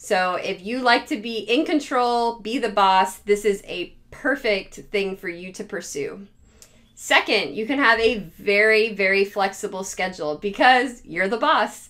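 Against a quiet background, a woman speaks at a fairly slow pace with a bright, sharp tone and ordinary pitch variation. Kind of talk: casual advice talk to camera. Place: home room. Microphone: phone near.

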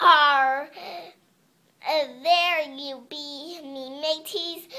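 The voice is a put-on character with a high pitch. Its delivery is very slow. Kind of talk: audition read.

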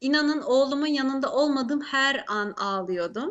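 Here a woman speaks with a high voice. Her pace is fairly slow and her intonation lively. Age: 30s. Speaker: law student and mother. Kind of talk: interview. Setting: remote call into live broadcast.

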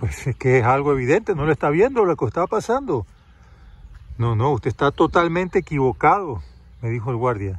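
A man speaks in a calm, warm tone that is somewhat breathy, with very wide pitch swings. Long, frequent pauses break up his speech, and the sound is dry with no echo. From Panama. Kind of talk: testimonial story told to camera, reflective, ending in a blessing and a moral. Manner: calm, unhurried, warm storyteller's delivery; indignant and dramatic in the story, then gentle and moralizing. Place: garden. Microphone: phone near.

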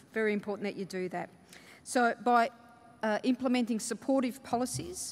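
Fairly quick speech from a woman with an Australian accent. Her intonation stays fairly even. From Australia, Melbourne (Fawkner). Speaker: state government minister. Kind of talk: conference keynote speech. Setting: stage with audience. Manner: halting, with many fillers. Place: hall. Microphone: podium.

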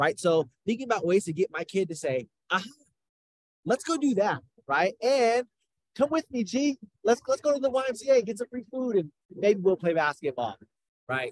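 An animated man with an American accent speaks at a high pitch with very wide pitch swings, at a moderate pace with long, frequent pauses. The sound is dry with no echo, over a quiet background. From Washington State, rural. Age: 30s. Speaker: peer support program specialist. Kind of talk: webinar presentation. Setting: on the road, video call. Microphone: video call.

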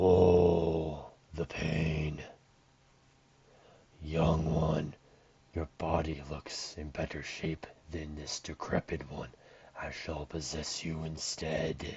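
A man's put-on character voice, very deep and low, very slow and flat in a monotone, broken by long, frequent pauses. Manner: dying, groaning, theatrical.

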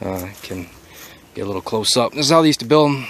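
A man's voice sounds dry with no echo, over light background noise. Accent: American. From Tennessee, USA. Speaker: amateur history tour guide. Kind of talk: casual walking tour commentary to camera. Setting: outdoors. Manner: casual, relaxed, with hesitations. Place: open country. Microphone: phone near.

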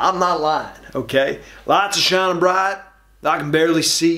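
A man's high-pitched voice at a fairly slow pace over a quiet background. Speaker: actor in comedic monologue. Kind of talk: acted comedic monologue. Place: studio.

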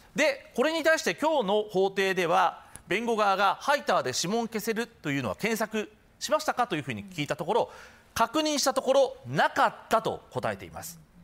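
This man's voice is high in pitch and swings very widely. He keeps a moderate pace. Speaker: TV news reporter. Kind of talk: news report to studio. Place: studio.

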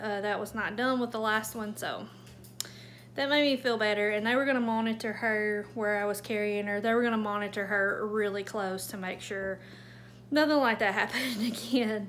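Speech comes at a moderate pace with fairly even intonation. Light background noise runs underneath. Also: woman. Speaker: homemaker vlogger. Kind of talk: casual vlog chat. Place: home room. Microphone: phone near.

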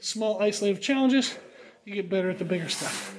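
Over light background noise, a man speaks at a fairly quick pace with a high pitch and fairly even intonation. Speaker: strength coach. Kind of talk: tutorial. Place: gym. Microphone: phone near.

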